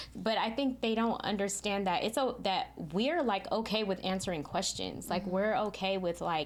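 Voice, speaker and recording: With an unremarkable speaking voice, a woman keeps a medium pitch, ordinary pitch variation and very even loudness at a moderate pace with hardly any pauses. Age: 50s. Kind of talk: podcast interview answer.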